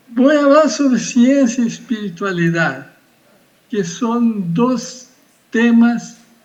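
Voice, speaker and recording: Audible room echo surrounds a man speaking at a very slow pace. His intonation is lively. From Brazil. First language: Portuguese (speaking Spanish). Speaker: physics professor. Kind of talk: lecture. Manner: halting.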